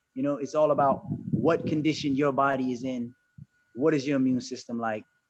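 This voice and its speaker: At a fairly quick pace, a man with a fairly high pitch talks in a plain, everyday voice. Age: 50s. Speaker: herbalist. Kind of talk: panel discussion.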